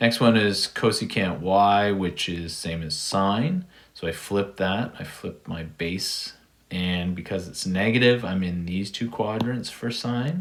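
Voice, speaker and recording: At a fairly slow pace, a man with an ordinary speaking voice talks at a fairly low pitch with ordinary pitch variation. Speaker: math teacher. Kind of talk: tutorial.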